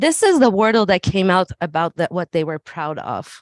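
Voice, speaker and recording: Lively intonation marks this voice with a slight Persian accent. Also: woman, quiet background. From Iran. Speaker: school administrator. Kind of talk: presentation at a public meeting. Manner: hesitant, many fillers.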